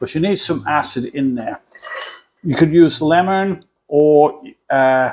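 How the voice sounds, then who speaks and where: With an English accent, a man speaks fairly slowly at a fairly high pitch, using ordinary pitch variation and leaving long, frequent pauses. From England. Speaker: cooking channel host. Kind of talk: cooking tutorial. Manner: casual, halting.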